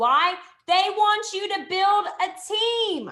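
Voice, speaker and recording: A woman's raised, projected voice comes across animated, with a bright, sharp tone. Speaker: direct sales team leader. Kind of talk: live training webinar.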